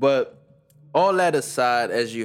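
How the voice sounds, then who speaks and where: With music playing in the background, a man talks at a fairly slow pace. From USA. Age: young. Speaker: podcast co-host. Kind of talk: casual chat.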